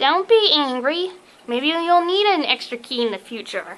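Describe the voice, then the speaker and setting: In a put-on character voice, a woman talks at a high pitch with very wide pitch swings. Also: moderate pace. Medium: read story. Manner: blunt, scolding.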